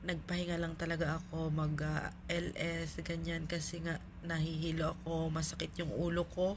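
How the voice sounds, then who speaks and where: In a room with audible echo, a woman talks at a moderate pace with hardly any pauses, her fairly low voice flat and monotone, with vocal fry. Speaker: vlogger. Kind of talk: casual vlog chat. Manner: filler-heavy, relaxed.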